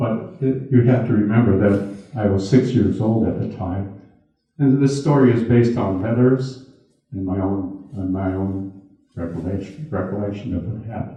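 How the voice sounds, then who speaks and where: A somewhat breathy man with an American accent has a dark, mellow tone and ordinary pitch variation. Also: fairly low pitch for a man, moderate pace. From US Midwest, Milwaukee. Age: 80s+. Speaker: retired businessman and internment survivor speaker. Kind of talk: talk with audience Q&A. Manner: halting, with repeated words.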